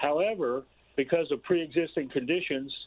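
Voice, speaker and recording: An ordinary speaking voice moves at a moderate pace. The intonation is lively. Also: man. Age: 60s. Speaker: caller. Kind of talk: call-in comment.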